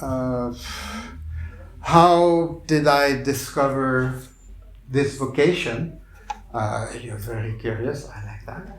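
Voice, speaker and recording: Audible room echo surrounds a man talking at a very slow pace in a medium pitch, with ordinary pitch variation, big swings in loudness, and long, frequent pauses. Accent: Quebec. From Quebec, Montreal. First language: French. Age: 60s. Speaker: clown and visual artist. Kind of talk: public talk. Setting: bookstore stage with audience.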